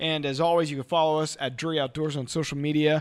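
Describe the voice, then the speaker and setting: A man talks at a fairly quick pace with fairly high pitch. It is a plain, everyday voice on a very clean recording with a silent background. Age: 30s. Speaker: hunting show host. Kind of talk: interview; promo outro.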